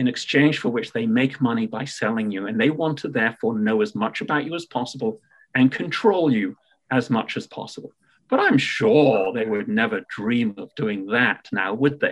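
In a British accent, a man speaks at a moderate pace. His medium-pitched voice has lively intonation. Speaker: payments tech entrepreneur. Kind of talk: podcast interview. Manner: hesitant fillers, repeats words.

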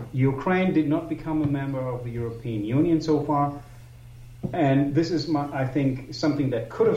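Noticeable background noise sits behind a man speaking at a moderate pace. His pitch is fairly high, with ordinary pitch variation. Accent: German. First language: German. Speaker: publisher and historical researcher. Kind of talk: interview. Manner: halting.

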